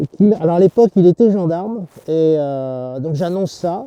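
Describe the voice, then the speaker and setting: A man's fairly high pitch with a dry, close sound and no echo. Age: 60s. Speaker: farmer. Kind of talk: farm tour talk. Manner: hesitant, many fillers.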